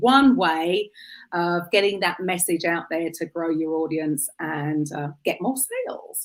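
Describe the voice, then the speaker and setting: The recording is very clean, with a silent background. A woman with a British accent speaks at a fairly slow pace. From UK. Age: 50s. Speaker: podcast host. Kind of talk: interview chat.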